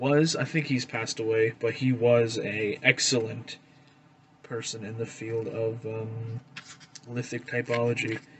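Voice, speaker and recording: A man with a Canadian accent speaks at a fairly slow pace and fairly even intonation, with noticeable background noise behind him. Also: medium pitch for a man. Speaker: flint knapping hobbyist, video creator. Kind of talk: casual tutorial / show-and-tell. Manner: casual, hesitant with many fillers. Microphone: recorded on a phone.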